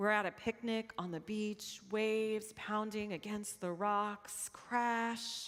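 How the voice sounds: Natural reading aloud, its intonation fairly even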